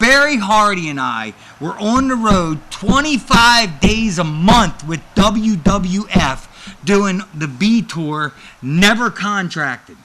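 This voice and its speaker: A man's raised, projected voice sits high in pitch with lively intonation. He talks at a very slow pace against noticeable background noise. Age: 50s. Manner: animated.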